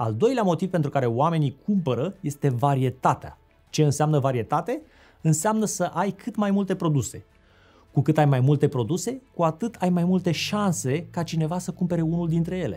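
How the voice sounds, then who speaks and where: Faint music plays behind a man talking at a moderate pace. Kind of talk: interview-style explanatory talk. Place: studio.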